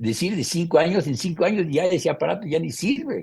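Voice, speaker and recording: Somewhat breathy speech with a dark, mellow tone, lively intonation and a moderate pace. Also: man. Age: 80s+. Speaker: photographer. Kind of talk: interview answer.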